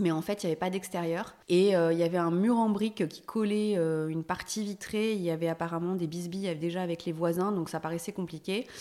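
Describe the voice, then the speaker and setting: A woman talks at a fairly quick pace with hardly any pauses, her dark, mellow tone carried on fairly even intonation. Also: fairly low pitch for a woman. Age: 40s. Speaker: homeowner who renovated her house. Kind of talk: casual interview. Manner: hesitant, many fillers.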